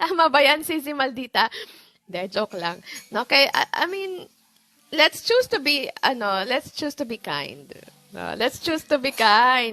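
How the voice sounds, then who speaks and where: Very wide pitch swings run through a woman's high voice. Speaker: livestream host giving money tips. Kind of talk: casual livestream talk. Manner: calm; chatty, code-switching Taglish.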